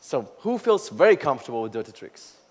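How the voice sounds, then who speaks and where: Very wide pitch swings mark the way this man talks. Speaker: conference speaker. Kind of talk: keynote talk. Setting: stage with audience. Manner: fast; animated.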